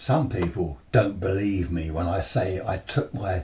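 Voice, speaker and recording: This speaker, with an English accent, has a dark, mellow, somewhat breathy tone and talks at a very slow pace. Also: man. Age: 70s. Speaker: amateur radio operator. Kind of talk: talk to a club audience. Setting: club presentation with audience. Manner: conversational, hesitant.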